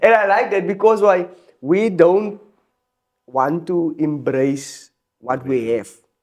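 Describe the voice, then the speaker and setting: A man with a South African accent speaks at a high pitch and a very slow pace. His intonation is lively, broken by long, frequent pauses. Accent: full South African. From South Africa, Helenvale, Port Elizabeth area. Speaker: musician. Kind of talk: casual chat. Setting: studio.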